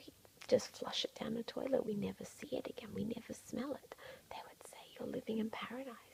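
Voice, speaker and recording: Soft-spoken and calm in tone, at a fairly quick pace. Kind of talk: ASMR soft-spoken ramble to camera, calming. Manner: soft-spoken, calm, reassuring.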